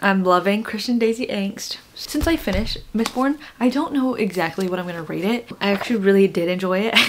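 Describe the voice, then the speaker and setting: A woman talks at a moderate pace with lively intonation. Light background noise is present. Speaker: reading vlogger. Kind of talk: casual vlog. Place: home room. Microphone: phone near.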